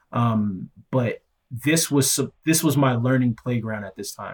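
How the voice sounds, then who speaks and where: Somewhat breathy, a man talks at a moderate pace with ordinary pitch variation on a very clean recording with a silent background. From Nigeria. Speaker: solutions engineer. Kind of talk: interview testimony.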